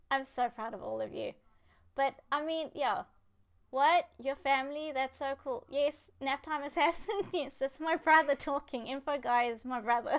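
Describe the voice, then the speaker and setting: Her pitch high, a woman speaks at a moderate pace with ordinary pitch variation. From South Africa. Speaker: gaming podcast host. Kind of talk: casual chat. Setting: live stream. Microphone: good mic.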